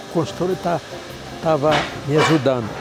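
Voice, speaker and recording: Noticeable background noise behind a man's fairly high voice with ordinary pitch variation. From Paraíba, Brazilian Northeast. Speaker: gas station business owner. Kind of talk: interview testimony. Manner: halting.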